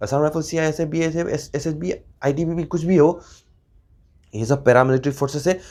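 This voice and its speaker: A dark, mellow tone comes with a Nepali accent. The recording is very clean, with a silent background. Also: man. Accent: Nepali-accented Hindi, weak pronunciation. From Northeast India, Nepali community. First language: Nepali (speaking Hindi). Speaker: YouTuber, former paramilitary member. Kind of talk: casual informational vlog. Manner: halting, many fillers.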